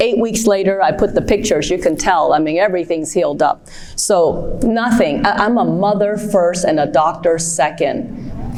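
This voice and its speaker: A woman speaks at a moderate pace with a medium pitch and ordinary pitch variation. Noticeable background noise runs under her voice. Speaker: pediatric ENT surgeon. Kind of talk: conference talk. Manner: lively, conversational.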